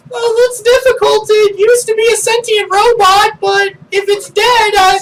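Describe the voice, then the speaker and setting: At a moderate pace, someone uses a put-on character voice pitched extremely high. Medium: actual play.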